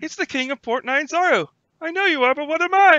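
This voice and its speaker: Using a put-on character voice, the speaker talks at a fairly quick pace in a high pitch. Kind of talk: playful, childish retort. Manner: spazzy, rapid, taunting.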